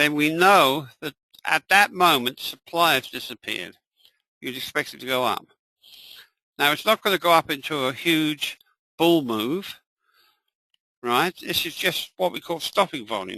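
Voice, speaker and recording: A man's fairly high, bright and sharp voice with lively intonation and big swings in loudness, moderate in pace, with long, frequent pauses, dry and close with no echo, over a quiet background. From England. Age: 80s+. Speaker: trading educator. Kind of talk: live webinar tutorial. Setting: live online session.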